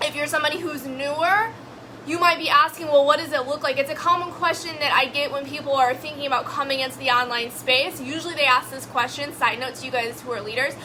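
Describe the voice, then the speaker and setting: Over music in the background, a woman speaks in a raised, projected voice at a high pitch, with an animated tone and a fairly quick pace. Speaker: network marketing coach. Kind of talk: live stream talk. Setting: live video broadcast. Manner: fast.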